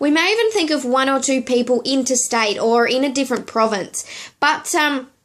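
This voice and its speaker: Speaking at a moderate pace with a high pitch, a woman with an Australian accent keeps her loudness very even and her pitch variation ordinary. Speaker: network marketing coach, video blogger. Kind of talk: direct-to-camera business tutorial. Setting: temporary home office in hotel room.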